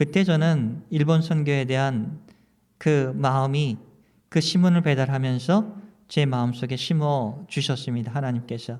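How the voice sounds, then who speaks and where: A man speaks with an unremarkable speaking voice, fairly high for a man. His pace is fairly slow, with ordinary pitch variation. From South Korea. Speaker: pastor. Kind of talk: sermon.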